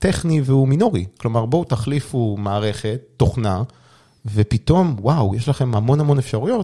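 A man's medium-pitched, somewhat breathy voice with a dark, mellow tone, lively intonation and a moderate pace, on a very clean recording with a silent background. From Israel. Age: 30s. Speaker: startup CEO and sales executive. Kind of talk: interview.

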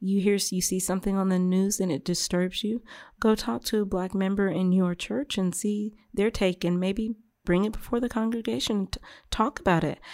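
In a very clean recording with a silent background, a woman with an unremarkable speaking voice speaks at a moderate pace with a medium pitch and ordinary pitch variation. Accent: American. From South Carolina, Beaufort area. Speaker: mother of four. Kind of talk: casual interview.

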